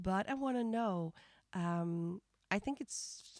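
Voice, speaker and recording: Speech comes at a very slow pace in a Dutch accent, with ordinary pitch variation. The sound is dry and close, with no echo. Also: woman. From Netherlands. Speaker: music reaction streamer. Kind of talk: live stream reaction commentary. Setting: live stream. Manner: halting.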